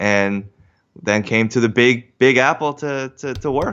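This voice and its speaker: A speaker with an American accent talks at a very slow pace. The pitch varies in an ordinary way. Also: man. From US Northeast, Westchester, New York. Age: 30s. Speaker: business analyst and magazine co-founder. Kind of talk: casual interview. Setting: in person, recording together. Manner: halting, with many restarts.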